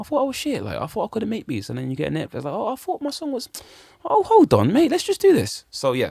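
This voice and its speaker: A man with a London accent talks at a very fast pace in an animated tone, the sound dry and close with no echo. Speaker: musician. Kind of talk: casual chat.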